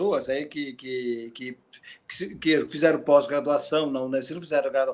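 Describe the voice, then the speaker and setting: A man with a plain, everyday voice speaks at a fairly high pitch. His pitch variation is ordinary. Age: 60s. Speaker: retired guitar professor and composer. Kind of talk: casual interview.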